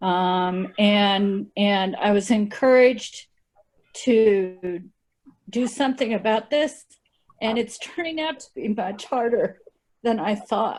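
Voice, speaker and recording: A woman talks at a very slow pace with a fairly high pitch. Her pitch variation is ordinary. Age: 60s. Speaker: veteran, workshop participant. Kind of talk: personal testimony. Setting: video call. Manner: halting.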